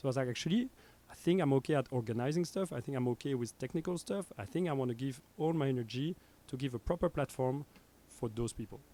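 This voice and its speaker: A man's fast-paced voice with a French accent, fairly high in pitch with a dark, mellow tone. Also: ordinary pitch variation. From Belgium (Brussels). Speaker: radio station founder. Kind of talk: casual chat. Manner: animated.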